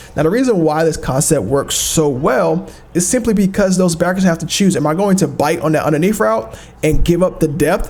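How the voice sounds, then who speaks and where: The speech runs at a fairly quick pace with very even loudness. Noticeable background noise is present. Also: man, high pitch for a man, ordinary pitch variation. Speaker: video game tutorial creator. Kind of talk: gameplay tutorial commentary. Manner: fast; casual, with fillers.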